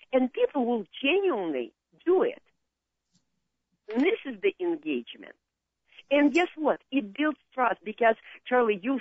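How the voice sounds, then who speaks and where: Someone with a Russian accent talks at a fairly slow pace, with long, frequent pauses and very wide pitch swings. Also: woman, high pitch for a woman. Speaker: marketing consultant. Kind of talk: radio interview. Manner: halting.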